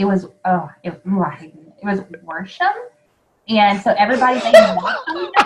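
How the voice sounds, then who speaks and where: With a Southern US accent, a woman talks at a moderate pace in a medium pitch, her intonation lively and her loudness swinging widely. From US South. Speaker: podcast host. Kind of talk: casual interview chat.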